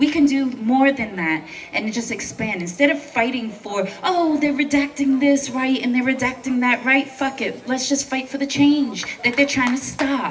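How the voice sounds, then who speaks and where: Against noticeable background noise, a woman with a New York accent and a high pitch talks at a moderate pace with hardly any pauses. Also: ordinary pitch variation. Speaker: protest speaker, veteran. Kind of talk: protest speech. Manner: impassioned.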